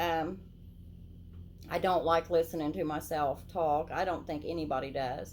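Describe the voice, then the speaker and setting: The speaker has an Appalachian accent and fairly even intonation. The pace is moderate, with long, frequent pauses. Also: woman, fairly low pitch for a woman. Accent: Appalachian country. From southern Ohio, Lawrence County (Appalachian). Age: old. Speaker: YouTube channel host. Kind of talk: casual vlog talk to camera. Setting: indoors, lights turned down low.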